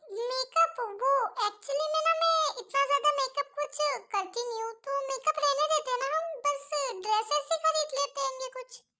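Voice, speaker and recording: Using a put-on character voice, a woman speaks at an extremely high pitch and a moderate pace with lively intonation. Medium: fan dub.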